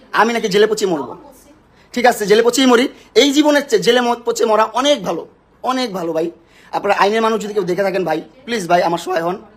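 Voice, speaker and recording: High-pitched male voice in an angry tone, lively intonation, noticeable background noise. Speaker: social media personality. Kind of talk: heated argument on a livestream. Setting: live video stream at home, at night. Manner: angry, shouting.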